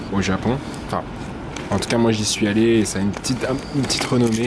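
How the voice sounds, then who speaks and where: A man talks very fast at a medium pitch, with fairly even intonation. Noticeable background noise and audible room echo fill the recording. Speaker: vlogger and illustrator. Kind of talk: casual vlog narration.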